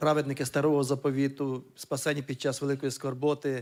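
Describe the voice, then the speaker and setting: Speaking at a fairly quick pace, a man uses a fairly high voice in a Ukrainian accent. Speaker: church member asking a question. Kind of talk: question from audience. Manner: hesitant, many fillers.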